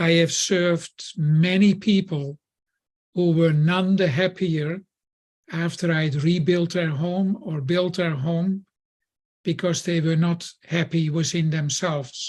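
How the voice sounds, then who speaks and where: A man speaks very slowly in a high voice with a Dutch accent. His intonation stays fairly even. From Netherlands. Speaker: building contractor. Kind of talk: podcast guest talk.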